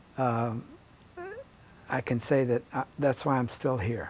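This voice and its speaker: A man speaks with an American accent at medium pitch and a moderate pace. His pitch varies in an ordinary way over noticeable background noise. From Virginia, Portsmouth. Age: 70s. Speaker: state legislator and lawyer. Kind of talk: interview. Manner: halting, many fillers.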